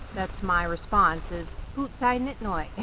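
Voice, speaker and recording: A woman with an American accent at a fairly slow pace, noticeable background noise behind her. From US South, North Carolina. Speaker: vlogger. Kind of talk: casual vlog talk. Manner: animated, lots of inflection.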